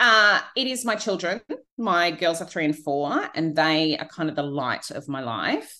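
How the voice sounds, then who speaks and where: Speaking at a fairly slow pace with lively intonation, a woman with an Australian accent uses a fairly low pitch. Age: 40s. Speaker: author and book coach. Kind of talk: interview conversation. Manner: hesitant with fillers.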